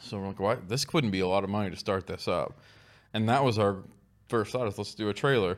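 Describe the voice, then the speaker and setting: On a very clean recording with a silent background, a man with an American accent and an unremarkable speaking voice talks at a fairly quick pace with a fairly low pitch and ordinary pitch variation. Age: 40s. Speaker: barbecue restaurant owner. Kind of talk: casual chat.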